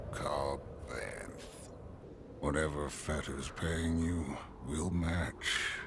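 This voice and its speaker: In a put-on character voice with a very deep, low pitch, a man speaks at a very slow pace over loud background noise. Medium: short film. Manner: cold, menacing.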